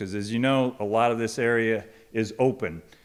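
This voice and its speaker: With an American accent, a man of medium pitch talks with fairly even intonation. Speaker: project presenter at a public meeting. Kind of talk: public meeting presentation. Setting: church hall with audience, microphone. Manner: loud; halting, many ums.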